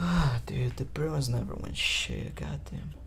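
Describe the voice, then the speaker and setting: A man's very deep, low voice at a very slow pace, with audible room echo and noticeable background noise. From Brazil. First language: Portuguese. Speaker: podcaster. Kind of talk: casual solo podcast monologue. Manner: casual, profane.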